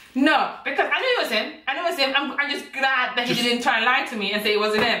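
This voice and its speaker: A woman speaks at a very fast pace in a high voice with ordinary pitch variation. Light background noise and audible room echo surround her. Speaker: vlogger. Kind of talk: casual vlog chat. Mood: playfully scolding, complaining. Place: kitchen. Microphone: camera far.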